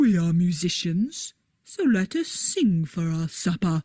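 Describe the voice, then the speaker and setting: A woman puts on a character voice. She speaks at a fairly slow pace. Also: medium pitch for a woman. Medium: read story.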